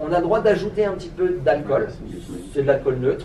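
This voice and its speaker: A man with a high-pitched voice talks over noticeable background noise, and audible room echo surrounds him. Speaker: sake expert giving a talk. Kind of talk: lecture. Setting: trade fair talk with audience. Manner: fast; halting, many fillers and repetitions.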